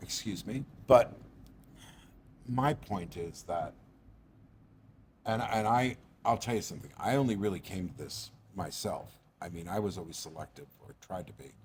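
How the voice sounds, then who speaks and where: A man with an American accent speaks at a moderate pace in a fairly low, somewhat breathy voice. His intonation is lively, with big swings in loudness and long, frequent pauses. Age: 60s. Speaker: actor. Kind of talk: casual chat. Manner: animated.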